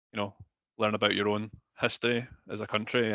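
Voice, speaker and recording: A man speaks with a Scottish accent in a fairly low pitch and a bright, sharp tone. His intonation is monotone and flat, and the sound is dry and close with no echo. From Scotland. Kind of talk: interview. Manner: hesitant, many fillers.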